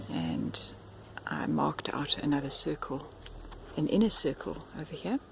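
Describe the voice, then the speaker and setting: Moderate pacing, long and frequent pauses, and noticeable background noise. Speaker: home gardener vlogger. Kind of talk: casual how-to video narration. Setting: outdoors in garden. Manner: hesitant, with fillers.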